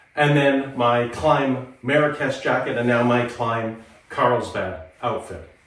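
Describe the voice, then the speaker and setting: The speaker is a man at a medium pitch with ordinary pitch variation. Noticeable background noise and audible room echo are present. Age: 50s. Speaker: motorcycle gear reviewer. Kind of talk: product review vlog.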